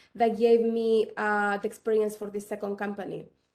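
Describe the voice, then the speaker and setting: In a very clean recording with a silent background, a woman with a Chilean accent speaks at a fairly high pitch in a monotone, flat intonation. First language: Spanish. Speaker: tech entrepreneur. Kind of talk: panel discussion.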